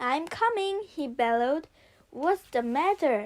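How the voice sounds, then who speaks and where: At a fairly slow pace, the speaker delivers lines in a put-on character voice. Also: woman, high pitch for a woman. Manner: bellowing.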